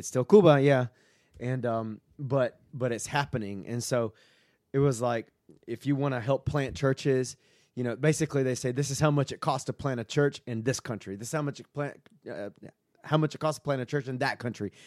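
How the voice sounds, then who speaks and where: In a Southern US accent, a man talks at a fairly quick pace with a medium pitch and ordinary pitch variation, on a very clean recording with a silent background and a dry, close sound with no echo. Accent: Southern US (Georgia). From US South, Georgia (Statesboro, near Savannah). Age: 30s. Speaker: pastor. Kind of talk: casual chat.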